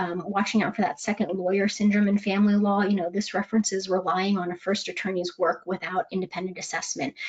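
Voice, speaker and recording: A woman at a medium pitch speaks at a very fast pace. Her intonation is monotone and flat. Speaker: legal malpractice risk speaker. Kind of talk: webinar presentation. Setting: webinar.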